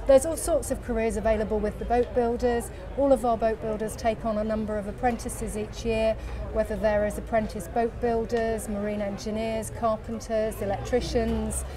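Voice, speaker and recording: Noticeable background noise sits behind a woman talking at a fairly quick pace. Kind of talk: interview answer. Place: street. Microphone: lapel.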